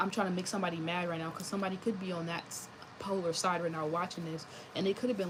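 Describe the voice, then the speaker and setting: Very fast speech over noticeable background noise. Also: woman. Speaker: tarot reader. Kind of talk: tarot reading monologue. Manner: animated.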